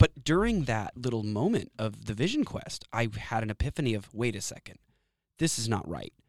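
Recorded dry and close with no echo, a man with an American accent speaks at a fairly quick pace, his medium pitch showing ordinary variation and vocal fry. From Texas, Austin. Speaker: outdoor education business owner. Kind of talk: interview. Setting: studio. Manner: animated.

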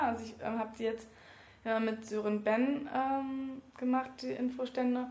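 Her pitch is high and her intonation monotone and flat. The woman speaks at a fairly slow pace. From Berlin (Wedding). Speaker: trainee teacher and election candidate. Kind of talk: interview. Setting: office. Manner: halting.

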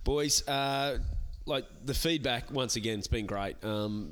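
A man talks at a moderate pace. He has an Australian accent. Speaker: podcast host, comedian. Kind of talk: casual chat. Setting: comedy club venue.

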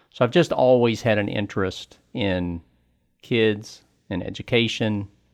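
A man with an American accent talks at a fairly low pitch, the background quiet. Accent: Southern West Virginia accent, still audible. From Southern West Virginia. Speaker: school board candidate, insurance agent. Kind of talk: interview.

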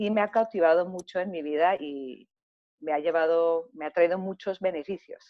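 This woman has an ordinary speaking voice, fairly low in pitch, with fairly even intonation and a moderate pace. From Germany and Greece, Greek parents. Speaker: macrobiotic chef and cooking teacher. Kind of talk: interview.

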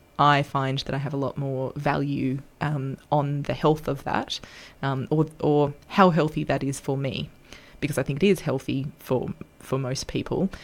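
With an Australian accent, a woman talks at a fairly slow pace in a very deep, low voice, her intonation fairly even. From Australia, north coast of New South Wales. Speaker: guest with polyamory experience. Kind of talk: casual interview chat.

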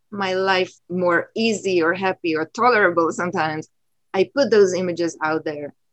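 In dry, close sound with no echo, a woman with a normal speaking voice and medium pitch talks at a moderate pace with ordinary pitch variation. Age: 50s. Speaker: photographer and teacher. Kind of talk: casual conversation. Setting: video call from home.

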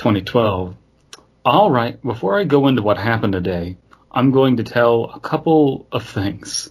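A somewhat breathy man speaks at a fairly slow pace. His pitch swings very widely. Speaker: podcast host. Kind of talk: casual comedic chat. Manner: jokey, laughs often.

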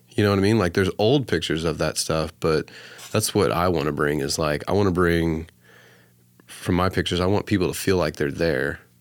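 In a very clean recording with a silent background, a man with an American accent talks fairly quickly at a very deep, low pitch, with ordinary pitch variation and very even loudness. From Oklahoma. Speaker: photographer. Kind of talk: casual interview.

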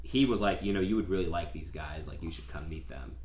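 With an American accent, a man speaks with lively intonation and vocal fry amid audible room echo. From Southeast Florida. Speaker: film director. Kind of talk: casual chat.

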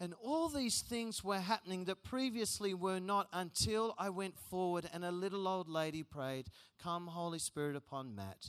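With an Australian accent, a man speaks in an animated, high-pitched voice with hardly any pauses, on a very clean recording with a silent background. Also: ordinary pitch variation, moderate pace. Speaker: youth conference speaker. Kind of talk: sermon.

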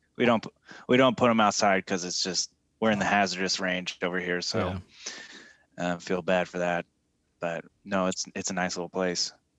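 The dry, close sound has no echo, and the speech moves at a moderate pace with fairly even intonation and long, frequent pauses. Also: man, very deep, low pitch for a man. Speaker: podcast co-host. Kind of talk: casual chat. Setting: video call.

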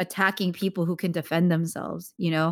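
A woman with an American accent, fairly low pitch and fairly even intonation, at a fairly quick pace on a very clean recording with a silent background. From US, Korean American. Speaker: actor and producer. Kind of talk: interview.

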